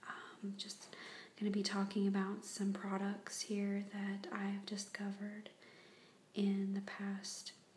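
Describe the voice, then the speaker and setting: A soft-spoken woman at medium pitch, very slow in pace, with long, frequent pauses and noticeable background noise. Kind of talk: ASMR product review.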